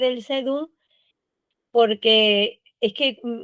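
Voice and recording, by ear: A woman speaks with an Andalusian accent at a fairly high pitch and with fairly even intonation. Her tone is clear and smooth, and the sound is dry and close with no echo.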